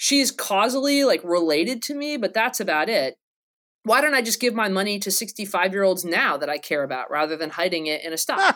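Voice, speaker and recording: On a very clean recording with a silent background, a woman with an American accent talks at a fairly quick pace in a medium pitch, her bright, sharp tone marked by very wide pitch swings. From North Carolina. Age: 30s. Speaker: philosophy professor. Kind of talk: casual academic interview.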